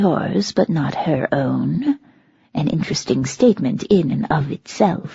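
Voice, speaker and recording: A put-on character voice at a middle pitch speaks at a fairly slow pace, with hissing audible. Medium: read story. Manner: imperious, threatening, cold.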